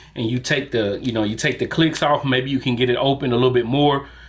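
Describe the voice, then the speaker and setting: A man with a Southern US accent speaks at a fairly high pitch, with ordinary pitch variation. There is noticeable background noise. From US South. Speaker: barber. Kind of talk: product review. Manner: casual, with many fillers.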